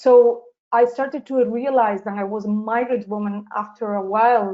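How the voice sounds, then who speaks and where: A woman with a Spanish accent speaks at a moderate pace in a fairly high pitch, her intonation monotone and flat. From southern Spain, Seville. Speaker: social justice activist. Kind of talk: interview. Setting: live webinar. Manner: halting.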